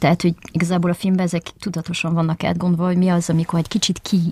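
A woman speaks with a French accent. The sound is dry and close, with no echo. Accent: French-tinged Hungarian. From France. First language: French (speaking Hungarian). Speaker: screenwriter and choreographer. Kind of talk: casual chat.

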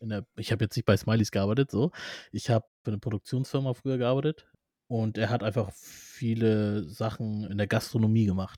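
A man speaks in a dark, mellow tone at a medium pitch, at a fairly quick pace. His intonation is fairly even, and the sound is dry and close with no echo. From Armenian family, Persian background. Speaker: podcast co-host. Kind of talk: casual chat.

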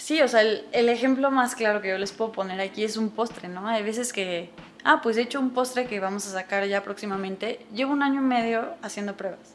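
Talking at a fairly quick pace with hardly any pauses, a woman uses ordinary pitch variation over noticeable background noise. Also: fairly high pitch for a woman. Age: 20s. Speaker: pastry chef and business owner. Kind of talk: interview.

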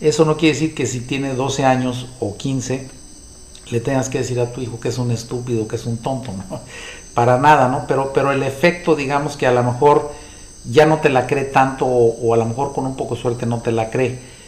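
A man with a Mexican accent, medium-pitched, at a moderate pace with fairly even intonation. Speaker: podcast host discussing books. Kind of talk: solo monologue commentary. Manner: halting, many fillers and repetitions.

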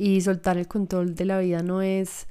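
On a very clean recording with a silent background, a woman speaks fairly slowly at a medium pitch with a dark, mellow tone and monotone, flat intonation. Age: 20s. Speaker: podcast host. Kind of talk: personal reflection monologue.

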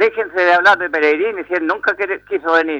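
A man's raised, projected voice with a bright, sharp tone, ordinary pitch variation and a moderate pace, in a dry, close sound with no echo. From Santiago, Chile. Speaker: caller. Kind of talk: radio phone-in.

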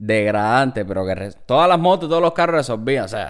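Very clean, with a silent background, the recording captures a man with a plain, everyday voice at a medium pitch and with lively intonation. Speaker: podcast co-host. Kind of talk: casual chat.

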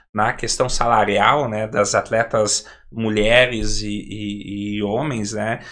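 Very slow speech in a bright, sharp tone with a southern Brazilian accent, on a very clean recording with a silent background. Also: man. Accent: gaúcho Brazilian Portuguese. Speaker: podcast host. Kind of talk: podcast interview.

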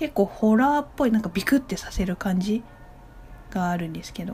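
Her tone dark and mellow and somewhat breathy, a woman speaks at a moderate pace with lively intonation. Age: 30s. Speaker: solo podcaster. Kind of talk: casual monologue.

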